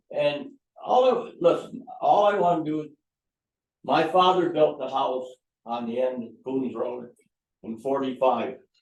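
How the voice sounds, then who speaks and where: A man with an American accent at a fairly slow pace, fairly high in pitch, with long, frequent pauses and audible room echo. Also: lively intonation. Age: 80s+. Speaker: resident speaking at town meeting. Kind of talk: public comment at town board meeting.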